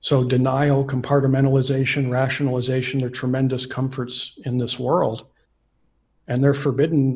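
This is a man talking at a moderate pace. His voice is somewhat breathy. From Central Coast California; California. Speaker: astrologer; podcast guest. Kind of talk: interview. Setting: video call. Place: home room. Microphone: studio mic.

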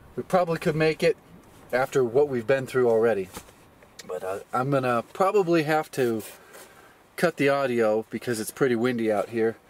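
A man talks at a moderate pace with long, frequent pauses and ordinary pitch variation. The sound is dry with no echo. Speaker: vlogger. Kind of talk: casual vlog chat. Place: open country.

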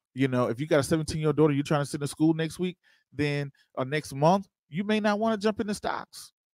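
In a dry sound with no echo and a quiet background, an animated man with a fairly high pitch speaks at a fairly quick pace with lively intonation. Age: 30s. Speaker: investing show host. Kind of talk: livestream tutorial. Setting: live stream. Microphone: handheld.

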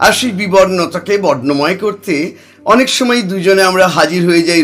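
Ordinary pitch variation runs through this unforced reading voice.

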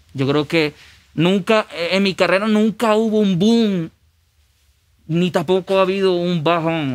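A man's voice with ordinary pitch variation. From Venezuela. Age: 20s. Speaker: musician; guest. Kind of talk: casual chat. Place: studio. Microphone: studio mic.

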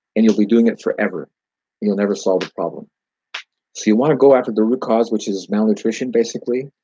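A man with an American accent, medium-pitched, with a dark, mellow tone and a very fast pace. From California, US West. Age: 70s. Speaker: gardener and orchard grower. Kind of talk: casual live Q&A.

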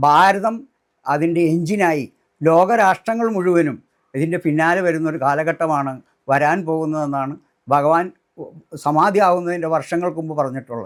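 The recording is very clean, with a silent background. A man with a plain, everyday voice speaks at a fairly high pitch with ordinary pitch variation. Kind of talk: personal testimony.

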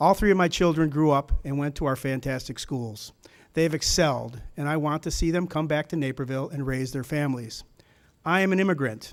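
A fairly quick-paced man with a fairly high pitch and ordinary pitch variation. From Chicago, after early childhood in Germany and US South. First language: German. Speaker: city council candidate and business owner. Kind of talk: candidate forum speech.

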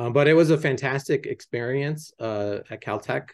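With an American accent, a man speaks at a moderate pace in a somewhat breathy voice over a quiet background. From New Mexico, USA. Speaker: chemistry professor. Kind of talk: interview answer. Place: office. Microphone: video call.

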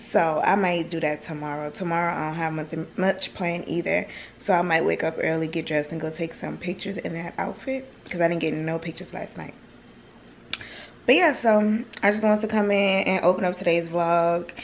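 Over light background noise, a woman with a normal speaking voice talks at a fairly quick pace, fairly low in pitch with ordinary pitch variation. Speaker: vlogger. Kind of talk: casual vlog chat. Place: home room. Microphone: phone near.

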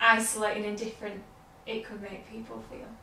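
Over light background noise and audible room echo, a woman speaks at a moderate pace with a fairly high pitch. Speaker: interviewer and educator. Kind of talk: casual interview. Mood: warm, engaged, animated. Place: home room.

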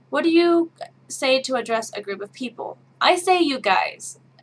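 A woman's voice in an American accent, with very wide pitch swings. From Midwest, Kansas. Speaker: vlogger. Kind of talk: casual talk to camera. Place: home room.

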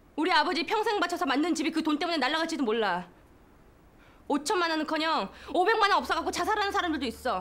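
Extremely high-pitched and very fast, a woman speaks with lively intonation. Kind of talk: scripted drama dialogue, angry argument. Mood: angry, scolding. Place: office.

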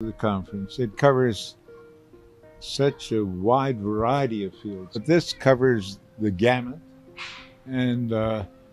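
Faint music plays behind a man of medium pitch who talks very slowly with long, frequent pauses and ordinary pitch variation, in a dry sound with no echo. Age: 80s+. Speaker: chemist, Nobel laureate. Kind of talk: interview answer. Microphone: handheld.

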